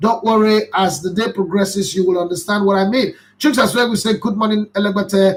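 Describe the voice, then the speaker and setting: Speaking with a Nigerian accent, a man uses an animated tone at a high pitch and a moderate pace. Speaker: football commentator. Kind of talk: live stream chat reading viewer comments.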